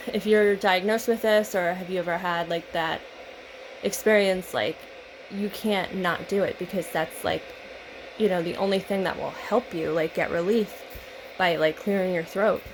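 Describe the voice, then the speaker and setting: Over noticeable background noise, a woman talks at a moderate pace in a medium pitch with fairly even intonation. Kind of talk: casual talk to camera.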